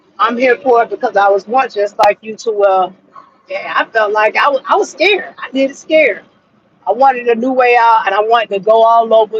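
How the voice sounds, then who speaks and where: A woman with an American accent and an unremarkable speaking voice talks fairly quickly at a fairly high pitch. Her pitch variation is ordinary, and the sound is dry and close with no echo. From Florida. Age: 40s. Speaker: truck driver. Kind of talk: casual vlog advice talk.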